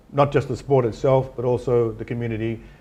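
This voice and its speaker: A man of medium pitch with an Australian accent and a dark, mellow tone. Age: 60s. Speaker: businessman and philanthropist. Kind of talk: interview. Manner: hesitant, repetitive fillers.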